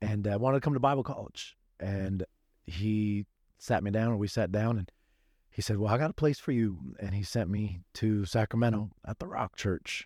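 With an American accent, a man speaks in an ordinary speaking voice at fairly low pitch and a moderate pace, with ordinary pitch variation, in a dry, close recording with no echo. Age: 40s. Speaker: pastor. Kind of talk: casual chat.

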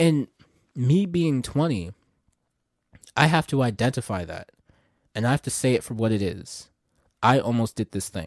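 A man's animated, medium-pitched delivery at a moderate pace, with very wide pitch swings and long, frequent pauses, on a very clean recording with a silent background and a dry, close sound with no echo. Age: 20s. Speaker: podcast host. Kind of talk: motivational faith monologue.

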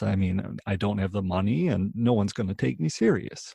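Recorded very cleanly against a silent background, a man speaks in a fairly low, somewhat breathy voice with fairly even intonation. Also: dry, close sound with no echo. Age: 20s. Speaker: podcast host, real estate investor. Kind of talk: solo podcast monologue. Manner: halting, with filler words and repetitions.

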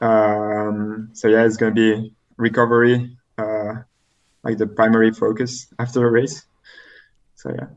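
A man with a French accent, flat monotone intonation, a fairly slow pace and long, frequent pauses. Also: medium pitch for a man. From Belgium, French-speaking part. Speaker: elite triathlete. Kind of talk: casual interview. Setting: remote call. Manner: halting, many fillers.

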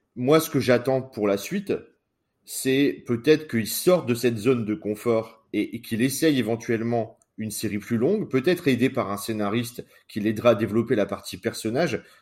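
Here a man at a medium pitch, with ordinary pitch variation, has a plain, everyday voice. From northern France. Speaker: podcast co-host. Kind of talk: casual chat.

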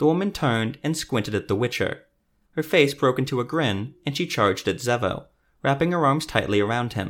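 Someone reads aloud in a natural voice, intonation lively, with a quiet background.

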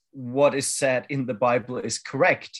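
Speaking fairly slowly, a man with a German accent uses a medium pitch. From Germany. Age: 40s. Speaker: activist, former adult film actor. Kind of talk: interview.

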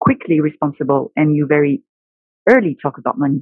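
Speaking with a French accent, a woman uses ordinary pitch variation. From France. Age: 30s. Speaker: buyer in retail. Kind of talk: casual chat.

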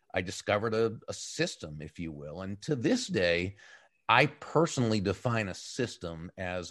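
A man with a plain, everyday voice speaks at a fairly slow pace and a fairly low pitch with lively intonation. The background is quiet. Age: 60s. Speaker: author and business speaker, former broadcaster. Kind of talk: interview. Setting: live stream on an audio chat app.

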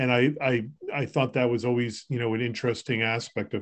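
An ordinary speaking voice from a man with an American accent, medium in pitch, fairly even in intonation and fairly quick in pace. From Massachusetts, Boston area. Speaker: podcast host, home care business owner. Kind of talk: casual chat.

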